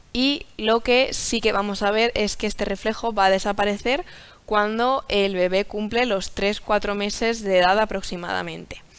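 Fairly even in intonation, the speech unfolds at a fairly slow pace. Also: woman. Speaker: presenter. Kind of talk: lecture. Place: studio.

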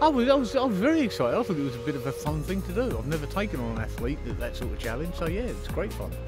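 Over clear music in the background, a man talks very fast with hardly any pauses, the sound dry with no echo. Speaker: fastest talker, world record holder. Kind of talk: interview answer. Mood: cheerful, upbeat. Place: waterside.

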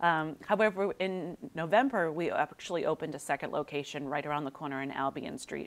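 Using an American accent, a woman speaks fairly quickly in a fairly low pitch with lively intonation. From Wakefield, Massachusetts, US; Massachusetts. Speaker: small business owner; guest. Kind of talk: interview. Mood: warm, upbeat. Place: studio. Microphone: lapel.

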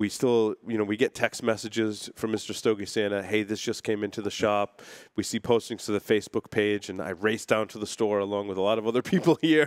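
Against a quiet background, an ordinary speaking voice flows with hardly any pauses and fairly even intonation. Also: man, fairly low pitch for a man, fairly quick pace. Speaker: show host. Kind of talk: talk show host remarks. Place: studio. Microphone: headset.

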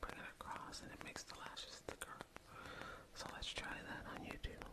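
A woman whispering in a soothing tone at a moderate pace. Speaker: ASMR creator. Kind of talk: ASMR personal attention role play. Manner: whispered. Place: home room. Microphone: studio mic.

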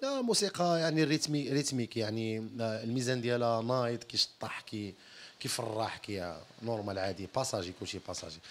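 A man's delivery is lively in intonation and moderate in pace. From Morocco, Tetouan; Morocco. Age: 30s. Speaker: singer; interviewee. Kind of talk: interview. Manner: halting. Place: empty room. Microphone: handheld.

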